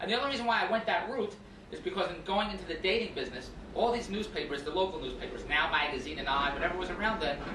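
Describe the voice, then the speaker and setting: A man with an American accent talks at a very fast pace in an energetic tone. Noticeable background noise sits behind him. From Philadelphia. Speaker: actor and infomercial host. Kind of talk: radio interview answer. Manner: energetic, jokey.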